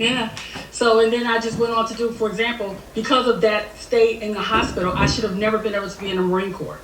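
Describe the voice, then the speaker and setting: Speaking at a very fast pace, a woman keeps a fairly high pitch and fairly even intonation. Audible room echo and noticeable background noise fill the recording. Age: 60s. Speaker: Marine Corps veteran, aspiring business owner. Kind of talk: group coaching call, question to coach. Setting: video call, wearing headphones.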